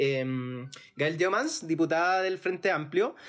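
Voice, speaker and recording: Intonation is lively as a man speaks at a moderate pace. The recording is very clean, with a silent background. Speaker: podcast host. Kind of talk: panel discussion.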